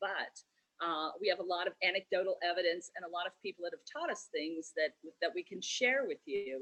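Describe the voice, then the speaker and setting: A woman uses a normal speaking voice at medium pitch, talking at a fairly quick pace with lively intonation. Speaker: tea shop owner. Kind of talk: virtual event presentation.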